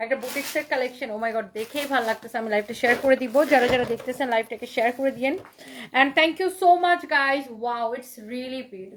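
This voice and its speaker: A woman's high voice with big swings in loudness and ordinary pitch variation. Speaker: online clothing seller. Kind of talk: live sales stream. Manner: animated.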